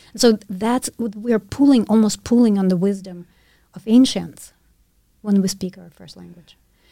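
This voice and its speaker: A woman's medium-pitched, dark, mellow voice with a Russian accent, at a moderate pace, with fairly even intonation and big swings in loudness. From Ukraine. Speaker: university professor. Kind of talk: casual conversation interview.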